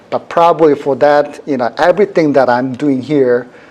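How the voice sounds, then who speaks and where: A male voice of ordinary pitch variation. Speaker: university professor, workshop instructor. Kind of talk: technical workshop tutorial. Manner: fast.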